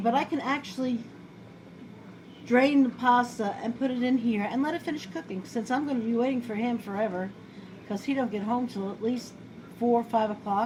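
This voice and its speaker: Over noticeable background noise, a woman with a New York accent speaks in a high voice with ordinary pitch variation at a moderate pace, leaving long, frequent pauses. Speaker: home cooking video host. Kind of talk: casual cooking tutorial. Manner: chatty, rambling.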